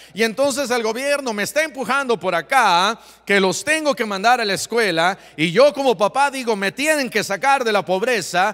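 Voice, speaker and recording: High-pitched man with a bright, sharp tone, lively intonation, and a moderate pace. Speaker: pastor. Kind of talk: sermon.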